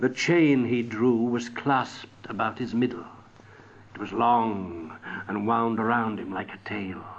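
At a very slow pace, a man talks at medium pitch with ordinary pitch variation and big swings in loudness. Background noise is noticeable. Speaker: audiobook narrator. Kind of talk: dramatic audiobook narration of a Victorian ghost story. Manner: theatrical, voicing characters like a gruff scoffing Scrooge; building suspense, ominous and deliberate.

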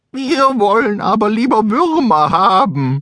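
A man's put-on character voice, shrill, whiny and high in pitch. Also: fairly slow pace. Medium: read story. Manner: whiny, indignant.

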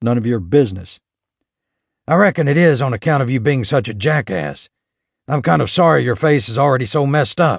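With lively intonation, a man in a plain, everyday voice talks at a medium pitch and fairly quick pace over a quiet background. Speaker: audiobook narrator. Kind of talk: dramatic audiobook narration of a western, reading aloud with character voices. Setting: studio recording. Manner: tense, gritty, shifting between narration and gruff cowboy dialogue; measured, building suspense before a quick burst of gunfire action.

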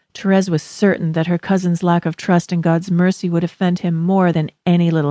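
A woman's dark, mellow voice, fairly low and flat in a monotone, at a fairly quick pace, dry and close with no echo against a quiet background. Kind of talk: audiobook reading. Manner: measured, even, earnest; formal, instructive.

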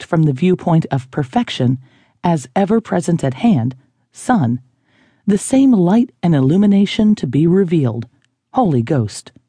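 A woman's fairly low, somewhat breathy voice with a dark, mellow tone and very wide pitch swings, in a dry, close sound with no echo and a quiet background. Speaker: audiobook narrator. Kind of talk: audiobook reading of a spiritual self-help text, scripted and measured. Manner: slow, formal, solemn; even, measured delivery.

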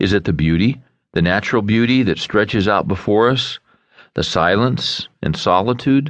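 A man with a normal speaking voice talks at a moderate pace and fairly low pitch, his intonation lively and his loudness very even. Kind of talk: audiobook narration, reading a self-help book aloud. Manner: warm, earnest, conversational teaching tone.

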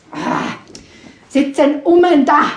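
A woman talks with a Vorarlberg accent at a high pitch. Her tone is animated and playful. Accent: Vorarlberg Alemannic-tinged Austrian German. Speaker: storyteller. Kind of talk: live folk-tale storytelling to an audience, ghost story. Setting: stage with live audience. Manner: animated, conversational, playful voices for characters; addresses listeners directly, with asides and laughter.

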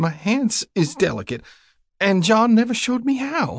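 A man puts on a character voice, pitched high. He goes at a fairly slow pace with big pitch swings. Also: very clean recording, silent background.

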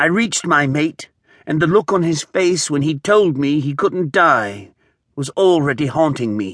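The sound is dry and close with no echo. A man with a plain, everyday voice, fairly high in pitch, speaks with lively intonation. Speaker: audiobook narrator. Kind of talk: dramatic first-person audiobook narration of a wartime battle scene. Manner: tense, urgent storytelling building through gunfire and death; voices characters' shouted and dying lines within the narration.

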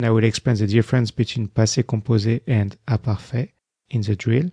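A man's voice, somewhat breathy, with a dark, mellow tone. The sound is dry and close, with no echo. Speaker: French language teacher. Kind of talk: language drill audiobook.

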